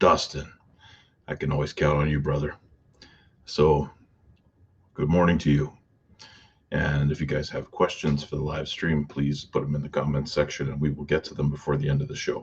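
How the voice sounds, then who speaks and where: A man puts on a character voice, quiet and raspy, with a very deep, low pitch. His intonation is monotone and flat at a moderate pace, broken by long, frequent pauses. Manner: quiet, talking low.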